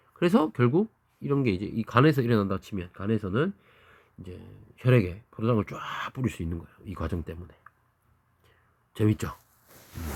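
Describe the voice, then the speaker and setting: In a very clean recording with a silent background and a dry, close sound with no echo, a man with a Daegu accent speaks at a moderate pace in a fairly low pitch, with lively intonation, big swings in loudness and long, frequent pauses. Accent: Daegu dialect, remarked by self. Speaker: biology teacher. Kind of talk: lecture. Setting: recorded video lesson. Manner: casual, conversational with dialect asides.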